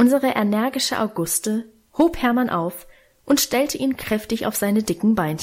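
Someone reads with an unforced voice.

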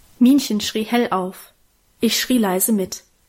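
A quiet background surrounds this voice. It reads naturally, with ordinary pitch variation.

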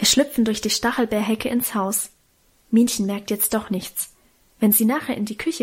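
The intonation stays fairly even during this plain reading aloud.

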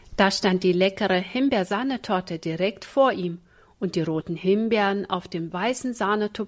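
A passage read aloud in a natural voice

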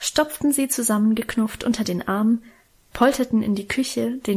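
The voice reads naturally. That natural reading voice is what the clip offers.

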